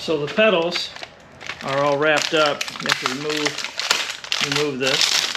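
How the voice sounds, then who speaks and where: Fairly high in pitch, a man talks at a fairly slow pace with fairly even intonation. Noticeable background noise and audible room echo are present. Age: 60s. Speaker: e-bike reviewer, YouTuber. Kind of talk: tutorial. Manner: casual, step-by-step explanatory.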